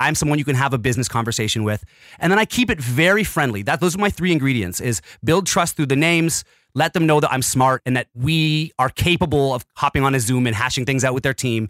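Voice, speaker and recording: Speaking very fast, a man uses lively intonation at a fairly high pitch. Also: very even loudness, dry, close sound with no echo. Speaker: lyric video company owner. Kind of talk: interview. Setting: video call.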